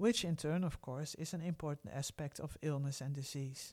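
A woman with a Dutch accent, a very deep, low pitch and a dark, mellow tone, with fairly even intonation at a moderate pace. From Netherlands, Groningen. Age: 50s. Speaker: podcast host, medical anthropologist. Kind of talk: personal storytelling.

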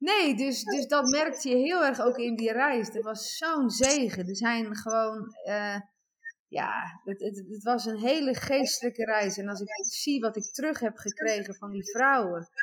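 In a plain, everyday voice, a woman speaks at a fairly slow pace with fairly high pitch and ordinary pitch variation. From Netherlands, Overijssel. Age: 40s. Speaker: guest telling life story. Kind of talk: testimony. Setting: remote call. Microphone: echo.

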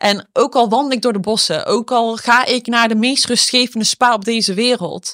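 An unremarkable speaking voice from a woman, fairly high in pitch, with fairly even intonation at a moderate pace and hardly any pauses. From Eindhoven, Netherlands. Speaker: entrepreneur and shoe designer. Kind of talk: interview conversation.

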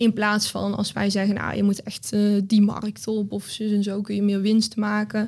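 A woman at medium pitch, somewhat breathy, with monotone, flat intonation, a fairly slow pace and hardly any pauses. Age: 20s. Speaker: business coach. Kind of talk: interview conversation. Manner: hesitant, many fillers.

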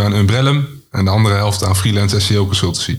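Speaking at a very fast pace, a man with a fairly low pitch sounds somewhat breathy, keeps a fairly even intonation, and has audible room echo around him. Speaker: podcast co-host. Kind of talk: scripted introduction.

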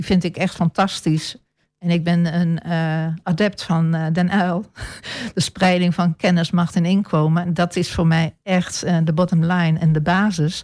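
On a very clean recording with a silent background, a woman with a fairly low pitch speaks at a fairly slow pace in a monotone, flat intonation. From eastern Netherlands (Almelo, Apeldoorn). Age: 60s. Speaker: local politician. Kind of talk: radio interview. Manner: hesitant, many filler sounds.

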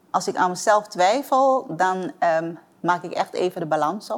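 A woman speaks at a moderate pace with lively intonation. It is a plain, everyday voice. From Suriname (Paramaribo), moved to Amsterdam at nine. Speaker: entrepreneur. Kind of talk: interview.

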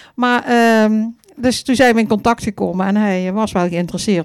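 A woman talks at a fairly quick pace with ordinary pitch variation in a normal speaking voice. The recording is very clean, with a silent background. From Vierlingsbeek, Dutch Limburg. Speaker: funeral celebrant. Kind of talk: live stage interview. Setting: stage with audience.

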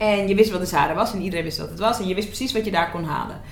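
Audible room echo and noticeable background noise surround a woman speaking with ordinary pitch variation. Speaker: TV presenter and media entrepreneur. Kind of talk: interview. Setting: club room in Amsterdam.

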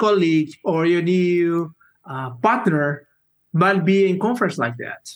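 The speech moves at a fairly slow pace. Pitch variation is ordinary. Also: man. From Brazil. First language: Portuguese. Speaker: software engineer. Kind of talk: interview. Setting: video call.

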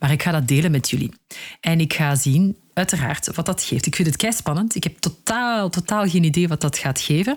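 A woman with a fairly low pitch and a somewhat breathy voice talks at a moderate pace with lively intonation. Her loudness stays very even, and the recording is very clean with a silent background. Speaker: career coach and podcast host. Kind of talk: solo advice podcast.

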